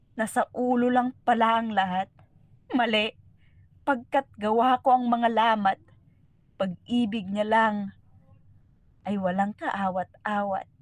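The delivery is dramatic and very slow, broken by long, frequent pauses, with fairly even intonation. The sound is dry and close, with no echo. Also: woman, fairly high pitch for a woman. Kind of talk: spoken word poetry. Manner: solemn, reflective; slow, measured, dramatic.

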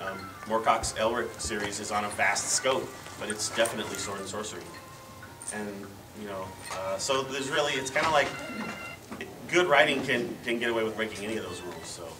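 Over music in the background, a man talks at a fairly quick pace with big swings in loudness and ordinary pitch variation. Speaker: panelist. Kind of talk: panel discussion answer. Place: hall. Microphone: camera far.

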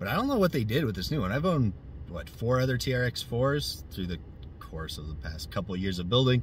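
A man speaks at a fairly quick pace in a fairly low voice with very wide pitch swings and vocal fry, the sound dry with no echo over light background noise. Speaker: RC car hobbyist reviewer. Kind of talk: casual vlog chat. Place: car. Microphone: phone near.

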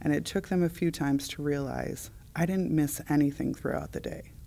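Her tone is dark and mellow. The woman's pitch variation is ordinary. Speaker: high school teacher. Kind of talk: interview answer. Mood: earnest, animated. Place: hall.

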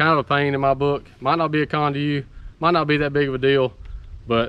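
A man at a fairly quick pace, his pitch medium

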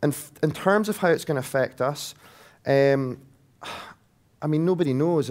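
A man with a Scottish accent and ordinary pitch variation, on a very clean recording against a silent background. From Scotland. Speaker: technology company sales director. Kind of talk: conference presentation. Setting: stage with audience.

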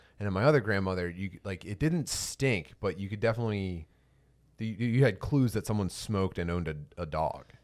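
Against a quiet background, a man with an ordinary speaking voice and fairly low pitch talks at a fairly quick pace with ordinary pitch variation. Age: 40s. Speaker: podcast co-host. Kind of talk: casual chat. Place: home room.

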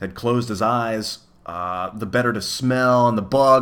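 The clip is someone reading aloud in a natural voice with ordinary pitch variation.

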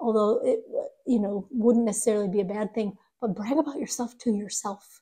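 Her fairly high voice is somewhat breathy with a dark, mellow tone, and the woman moves at a fairly quick pace with ordinary pitch variation. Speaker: tarot reader. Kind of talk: tarot reading.

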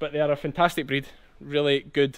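In a strong Scottish accent, a man talks at a fairly quick pace. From Ayrshire, South West Scotland. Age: 30s. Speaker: sheep farmer. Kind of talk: casual farm vlog talk to camera. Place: farm machine. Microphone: phone near.

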